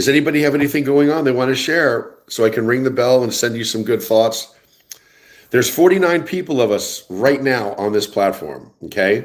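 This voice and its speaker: Lively intonation marks this man's medium-pitched voice. He talks at a moderate pace with a New Jersey accent. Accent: New Jersey American. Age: 60s. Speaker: livestream host. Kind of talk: casual livestream chat reading viewer comments. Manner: animated, conversational.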